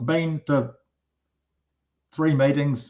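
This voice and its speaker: Fairly high-pitched male voice in a New Zealand accent, at a fairly slow pace. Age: 70s. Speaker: retired mechanic, meetup attendee. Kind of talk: casual chat. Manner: halting.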